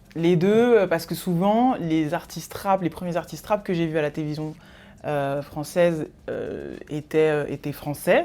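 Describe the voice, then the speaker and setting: A woman's dark, mellow tone, fairly low in pitch with ordinary variation, at a moderate pace. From Paris, France. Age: 30s. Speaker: music journalist. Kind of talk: interview. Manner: halting, many fillers.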